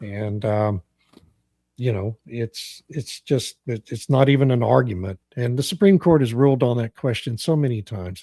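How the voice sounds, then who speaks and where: A somewhat breathy man with a medium pitch and a dark, mellow tone speaks at a moderate pace with ordinary pitch variation, recorded dry and close with no echo on a very clean, silent background. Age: 60s. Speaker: talk radio host. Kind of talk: political talk radio chat.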